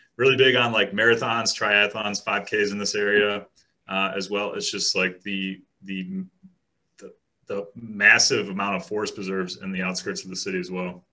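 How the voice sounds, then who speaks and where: A man speaks at a fairly low pitch and a moderate pace, with a slight Chicago accent. His tone is bright and sharp, his intonation fairly even, and his loudness swings widely. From Chicago western suburbs. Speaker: real estate agent. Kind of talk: casual interview chat.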